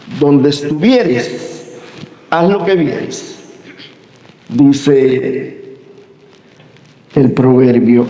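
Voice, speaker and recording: A man with a fairly high pitch speaks at a very slow pace, with long, frequent pauses and ordinary pitch variation. Audible room echo and noticeable background noise surround his voice. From Cuba. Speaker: university professor. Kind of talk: lecture.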